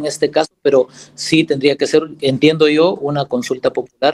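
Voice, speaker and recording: A man speaks in a plain, everyday voice at a moderate pace, fairly high in pitch with ordinary variation. The sound is dry and close with no echo. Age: 60s. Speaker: law professor. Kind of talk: lecture.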